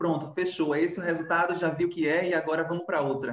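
A man talks in a high voice. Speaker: dancer and live moderator. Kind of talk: casual online chat. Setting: video call live.

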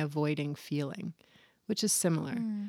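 Here a woman has an unremarkable speaking voice, fairly low in pitch. She talks at a moderate pace with an American accent. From Virginia, US. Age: 40s. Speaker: yoga teacher and former fashion model. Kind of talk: casual interview.

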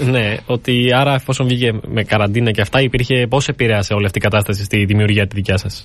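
In a plain, everyday voice, the speaker moves at a fairly quick pace with hardly any pauses. Intonation is fairly even over a quiet background. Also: man, medium pitch for a man. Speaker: student radio host. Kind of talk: radio interview. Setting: studio.

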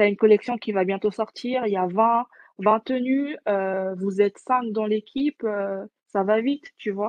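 A woman with a fairly high pitch speaks with fairly even intonation. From French Guiana. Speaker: entrepreneur, co-founder of a virtual influencer brand. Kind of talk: interview. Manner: halting, many fillers.

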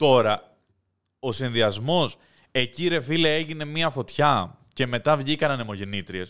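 In a very clean recording with a silent background, a man with medium pitch and an ordinary speaking voice talks at a fairly slow pace with lively intonation. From Greece. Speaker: podcast host. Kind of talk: casual chat.

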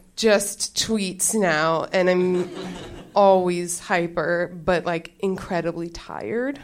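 The speech comes at a very slow pace with fairly even intonation, against noticeable background noise. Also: woman. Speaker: comedian. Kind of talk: stand-up. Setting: stage with audience.

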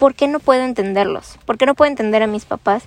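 A woman's shrill, high voice carries ordinary pitch variation in a dry, close recording with no echo. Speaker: podcast host. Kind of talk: casual monologue. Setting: outdoors outside a school. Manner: halting.

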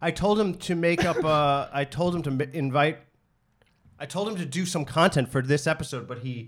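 A man with an American accent talks at a moderate pace in a fairly high pitch, somewhat breathy, with ordinary pitch variation. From New York area. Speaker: podcast host and comedian. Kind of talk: casual chat.

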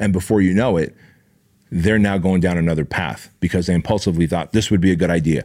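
A man with a very deep, low pitch talks at a very fast pace in an animated tone, captured in a very clean recording with a silent background. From Armenian-speaking country. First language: Armenian. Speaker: podcast host, fitness entrepreneur. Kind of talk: motivational monologue.

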